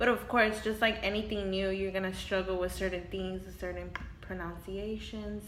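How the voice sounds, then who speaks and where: A woman speaks at a moderate pace with a Spanish accent. Audible room echo and noticeable background noise are present. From Houston, Texas. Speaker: interviewee. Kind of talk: interview. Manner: hesitant, many fillers.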